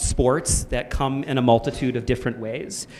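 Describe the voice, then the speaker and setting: With a Canadian accent, a man talks at a moderate pace in an unremarkable speaking voice of medium pitch. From Canada. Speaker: panel moderator and film producer. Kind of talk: panel discussion moderation.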